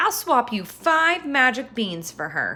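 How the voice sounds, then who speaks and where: A woman's put-on character voice, growling and high-pitched, with very wide pitch swings at a fairly slow pace. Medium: read story.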